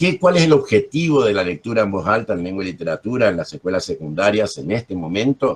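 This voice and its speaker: Talking very fast with hardly any pauses, a man with a Corrientes accent and fairly low pitch swings very widely in pitch. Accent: Corrientes accent, assibilated R. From Argentina, Corrientes. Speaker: journalist and literature teacher. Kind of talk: workshop teaching.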